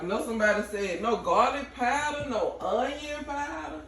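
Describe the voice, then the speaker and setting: Noticeable background noise accompanies a woman with an American accent speaking at a moderate pace. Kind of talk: casual cooking tutorial. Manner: playful, chatty.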